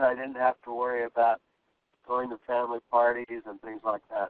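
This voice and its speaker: The voice belongs to a man with a medium pitch. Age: 60s. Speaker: weight loss client, architect. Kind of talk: testimony. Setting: phone call. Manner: halting.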